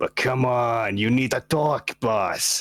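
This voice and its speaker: In a raspy, put-on character voice, the speaker delivers lines at a fairly slow pace. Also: man. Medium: actual play. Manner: casual, chatty, says "man" and "boss".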